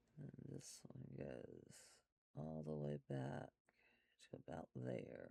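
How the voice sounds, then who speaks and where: A man speaks softly at a very slow pace, his very deep, low voice keeping a fairly even intonation through long, frequent pauses, with a dry, close sound and no echo. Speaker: art instructor. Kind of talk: tutorial. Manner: soft-spoken.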